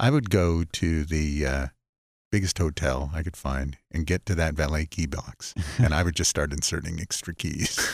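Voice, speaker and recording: A man speaks with a very deep, low pitch and vocal fry. The sound is dry and close, with no echo. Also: ordinary pitch variation, moderate pace, very clean recording, silent background. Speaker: car designer and co-host. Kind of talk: radio talk show banter.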